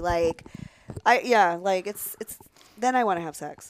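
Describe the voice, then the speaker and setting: A woman speaks with an American accent at a moderate pace, with ordinary pitch variation. Hers is a normal speaking voice. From Pennsylvania. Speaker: adult performer. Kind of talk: casual chat.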